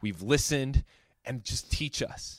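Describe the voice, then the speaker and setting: A man speaks in a normal speaking voice. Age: 30s. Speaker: podcast host. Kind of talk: casual chat.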